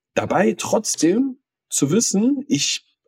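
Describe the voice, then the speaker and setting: Heard dry and close with no echo, a man's voice makes very wide pitch swings. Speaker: podcast co-host. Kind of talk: casual chat. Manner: halting, stammering.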